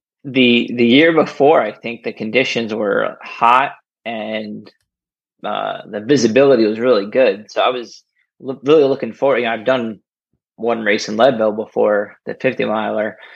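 Speaking at medium pitch with vocal fry, a man has an American accent. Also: fairly even intonation, moderate pace. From New Jersey. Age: 30s. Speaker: kidney donor and runner. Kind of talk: casual interview. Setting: remote call.

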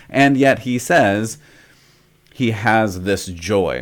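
An animated man's voice, fairly low in pitch with ordinary pitch variation, on a very clean recording with a silent background. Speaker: preacher and podcast host. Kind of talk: sermon. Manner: loud, animated laugh.

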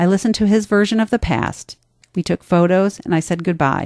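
At a moderate pace, a normal speaking voice with an American accent and ordinary pitch variation comes across in a dry, close sound with no echo against a quiet background. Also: woman. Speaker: essayist and podcast host. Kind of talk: reading aloud personal essay. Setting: studio.

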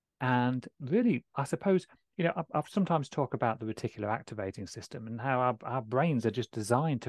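The background is quiet, and the sound is dry and close with no echo. A man talks at a fairly quick pace with lively intonation. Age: 40s. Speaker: relationship and infidelity coach. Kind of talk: casual interview. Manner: articulate.

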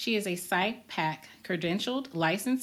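In a normal speaking voice, a woman of medium pitch talks at a moderate pace with lively intonation. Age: 40s. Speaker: podcast host. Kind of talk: casual chat.

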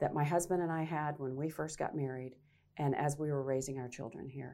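In an American accent, the voice has a dark, mellow tone and fairly even intonation. The recording is very clean, with a silent background. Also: woman. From Arkansas. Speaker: mayoral candidate. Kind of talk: interview.

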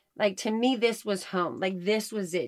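This woman has an unremarkable speaking voice of medium pitch. Her pitch variation is ordinary. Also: very clean recording, silent background. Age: 30s. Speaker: podcast co-host, homeschooling mother. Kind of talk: casual chat, faith testimony.

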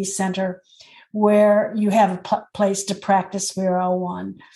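A woman speaks in a dark, mellow, somewhat breathy tone. Her pitch is medium and her pace moderate. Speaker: podcast co-host.

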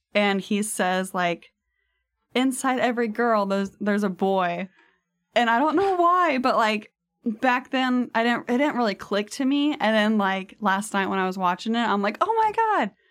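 In a very clean recording with a silent background, a woman uses a normal speaking voice at a fairly high pitch, moving at a moderate pace with lively intonation and very even loudness. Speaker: guest. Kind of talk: casual chat. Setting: studio.

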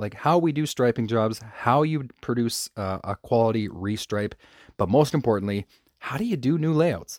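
A man with a plain, everyday voice speaks at a moderate pace and medium pitch, his intonation lively, in a dry, close recording with no echo that is very clean, the background silent. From Canada. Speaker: podcast host, parking lot striping business owner. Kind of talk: casual solo podcast talk.

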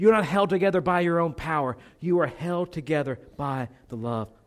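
Over a very clean recording with a silent background, a man with an ordinary speaking voice and fairly high pitch talks at a moderate pace. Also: big swings in loudness. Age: 30s. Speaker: pastor. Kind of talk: sermon. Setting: church.

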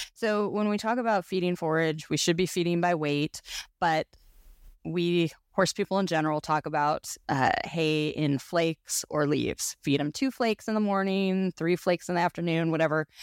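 A woman's ordinary speaking voice, fairly low in pitch, with ordinary pitch variation and very even loudness, in a very clean recording with a silent background and a dry, close sound with no echo. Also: moderate pace. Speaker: podcast host and horse owner. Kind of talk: casual conversational interview.

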